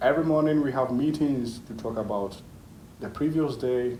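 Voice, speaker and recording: A man's voice carries a dark, mellow tone at a moderate pace. Room echo can be heard. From Ghana, later raised in Italy. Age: 30s. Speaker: engineer. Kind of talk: interview.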